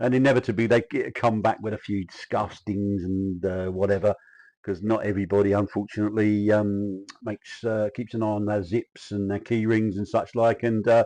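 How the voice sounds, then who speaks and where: Against a quiet background, a man with a South London accent speaks in a flat monotone, his dark, mellow voice fairly low in pitch. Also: moderate pace. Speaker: kit car industry insider. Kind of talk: casual historical talk. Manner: halting, many fillers.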